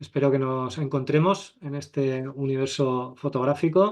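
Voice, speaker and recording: Over a quiet background, a man with an unremarkable speaking voice talks at a fairly slow pace in a medium pitch with ordinary pitch variation. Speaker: photography teacher. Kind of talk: online masterclass.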